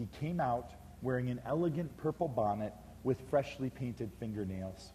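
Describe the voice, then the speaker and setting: A man with a medium-pitched voice talks at a moderate pace, his tone dark and mellow. He sounds somewhat breathy, with lively intonation. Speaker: author and speaker telling a personal story, one of the roadshow authors. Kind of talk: storytelling / personal anecdote from a book, spoken to an audience.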